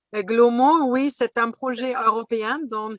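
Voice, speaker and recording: A woman speaks at a fairly slow pace with a bright, sharp tone. Her pitch varies in an ordinary way, and the sound is dry and close with no echo. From Germany, Berlin. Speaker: business school professor. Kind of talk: webinar panel introduction. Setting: video webinar.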